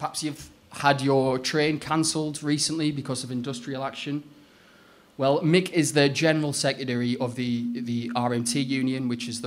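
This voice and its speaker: A man talks at a medium pitch, and the room's echo can be heard around him. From Northeast England. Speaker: trade union officer. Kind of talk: lecture. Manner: hesitant with fillers.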